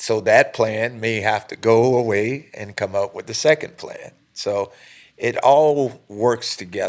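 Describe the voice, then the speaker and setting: A man speaks at a fairly slow pace with big swings in loudness. The recording is very clean, with a silent background. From USA. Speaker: basketball head coach. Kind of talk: podcast interview. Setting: studio.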